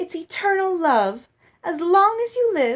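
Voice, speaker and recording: A woman puts on a character voice with an extremely high pitch, speaking at a fairly slow pace. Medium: read story. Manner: effusive, theatrical, oblivious.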